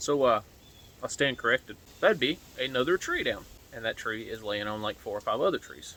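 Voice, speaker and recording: A man speaks with long, frequent pauses. Noticeable background noise runs under his voice. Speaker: preparedness video creator. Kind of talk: casual vlog update. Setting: outdoors.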